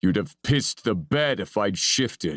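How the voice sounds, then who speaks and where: In a put-on character voice, a man growls at a moderate pace, his fairly low pitch making very wide swings. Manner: growling.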